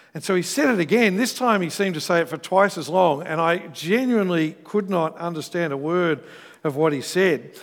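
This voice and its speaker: This man has a high pitch and an Australian accent. He talks at a fairly quick pace with ordinary pitch variation. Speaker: pastor. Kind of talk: sermon. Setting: church.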